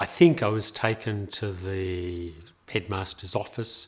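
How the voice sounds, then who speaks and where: Here a man speaks in an Australian accent with a very deep, low pitch. His intonation stays fairly even. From Australia, Melbourne. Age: 70s. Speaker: interviewee telling his life story. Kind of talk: life story interview. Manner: hesitant, with many fillers.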